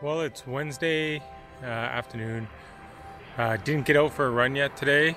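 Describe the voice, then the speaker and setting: Music plays behind a man speaking with ordinary pitch variation. The sound is dry, with no echo. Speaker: travel vlogger. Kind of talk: casual vlog chat. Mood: excited, cheerful.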